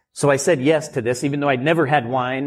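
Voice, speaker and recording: A man with fairly high pitch and fairly even intonation speaks in an unremarkable speaking voice. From rural Oregon. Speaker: winemaker and winery owner. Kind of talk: live podcast interview. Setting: live event with audience.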